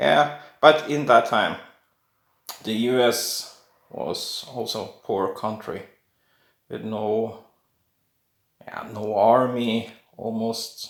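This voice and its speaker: A man's medium-pitched voice with a Norwegian accent at a very slow pace, long and frequent pauses, big swings in loudness, fairly even intonation and audible room echo. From Norway. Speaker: coin collector YouTuber. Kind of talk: casual video talk. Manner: halting.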